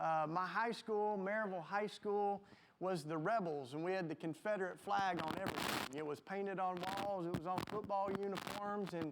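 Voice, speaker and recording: Speaking at a moderate pace with hardly any pauses, a man with a high pitch keeps his intonation fairly even, while noticeable background noise is present. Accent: Southern US. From US South, Tennessee. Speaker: panelist. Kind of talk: panel discussion.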